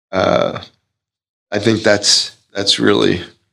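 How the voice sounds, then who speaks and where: The speaker is a man. His voice has vocal fry. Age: 70s. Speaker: performance coach and author. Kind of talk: interview. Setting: remote call.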